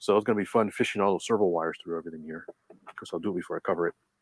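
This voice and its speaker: A man's voice with vocal fry comes through in a dry, close sound with no echo. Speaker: RC hobby podcast host. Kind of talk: casual chat, live stream. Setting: live stream.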